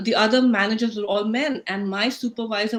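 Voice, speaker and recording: A woman's fairly high, monotone, flat voice at a moderate pace, in an Indian accent. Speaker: talk show host. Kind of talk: panel discussion moderation. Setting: livestream video call.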